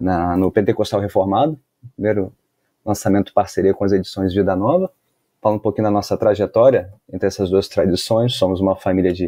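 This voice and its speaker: In a Carioca accent, the speaker uses fairly even intonation and a dark, mellow tone against a quiet background. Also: man. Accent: carioca Brazilian Portuguese. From Brazil, Rio de Janeiro. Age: 40s. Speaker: pastor and author. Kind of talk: podcast interview.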